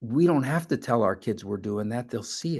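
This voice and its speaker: Speaking with a New York accent, a man shows ordinary pitch variation against a quiet background. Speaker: mental health advocate and family facilitator. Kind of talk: talk to a support group audience.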